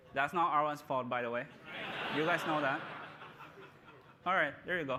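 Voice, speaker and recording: A man's intonation stays fairly even as he goes at a fairly quick pace amid noticeable background noise. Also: fairly high pitch for a man. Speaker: tech company presenter. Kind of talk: live product demo. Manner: casual, halting with fillers.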